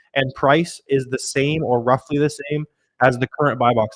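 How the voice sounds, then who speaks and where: Heard dry and close with no echo, a man speaks at a fairly high pitch. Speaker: online seller and YouTube educator. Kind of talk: live stream Q&A. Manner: fast; casual, filler-heavy.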